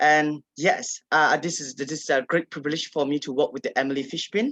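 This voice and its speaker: With a Burmese accent, a man speaks fairly quickly in a fairly high, bright, sharp voice, the sound dry and close with no echo. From Kachin State, Myanmar. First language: Kachin. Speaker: writer and advocate. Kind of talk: panel discussion. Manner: halting, many fillers.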